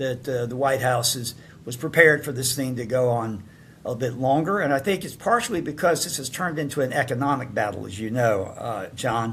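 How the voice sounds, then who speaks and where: A man with a Southern US accent talks at a fairly quick pace. His pitch is medium, with ordinary variation. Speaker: podcast host and pollster. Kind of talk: casual chat. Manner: halting, many fillers.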